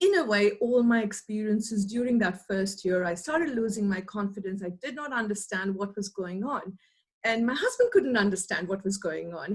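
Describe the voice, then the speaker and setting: Somewhat breathy and fairly high, a woman's voice moves at a fairly quick pace. Her pitch variation is ordinary. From India, Mumbai. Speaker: academic researcher. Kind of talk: interview.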